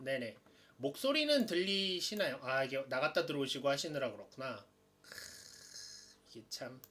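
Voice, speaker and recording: Moderate pacing broken by long, frequent pauses. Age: 30s. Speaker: hobby tutorial livestreamer. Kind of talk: live-streamed lecture. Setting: live stream. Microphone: stream cutting out, poor internet.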